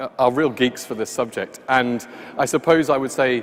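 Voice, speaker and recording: With fairly even intonation and a medium pitch, this man keeps a moderate pace while noticeable background noise sits behind him. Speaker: event host. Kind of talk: event opening remarks. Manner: halting, many fillers.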